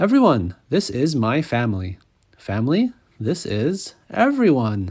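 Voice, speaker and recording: A man's put-on character voice at medium pitch, with very wide pitch swings, a fairly slow pace and a very clean recording with a silent background. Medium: read story.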